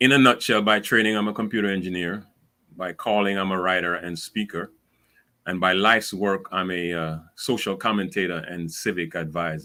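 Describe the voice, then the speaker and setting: On a very clean recording with a silent background, a man with a Caribbean accent speaks at a very deep, low pitch in a bright, sharp tone with fairly even intonation. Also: moderate pace. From Caribbean islands. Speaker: speaker and civic advisor. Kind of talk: panel discussion. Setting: live stream.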